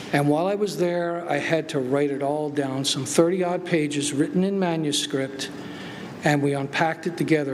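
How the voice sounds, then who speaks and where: Audible room echo and noticeable background noise surround this recording. A man with a fairly high pitch talks at a fairly quick pace with fairly even intonation. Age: 60s. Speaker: conference speaker, veteran with moral injury. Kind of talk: conference talk, personal testimony.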